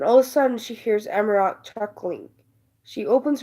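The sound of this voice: The reading voice is unforced, with ordinary pitch variation. Little can be heard behind it.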